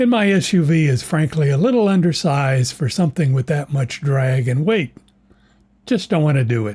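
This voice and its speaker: Somewhat breathy, the voice carries a dark, mellow tone with lively intonation. The recording is very clean with a silent background. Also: man. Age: 80s+. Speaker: retired DIY video maker. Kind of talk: scripted narration.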